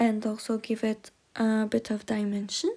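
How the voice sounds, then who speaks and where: In a non-native accent, a woman talks at a very slow pace with a fairly high pitch, a somewhat breathy sound, and monotone, flat intonation. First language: not English. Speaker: miniature crafter. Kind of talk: tutorial. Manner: hesitant, many fillers.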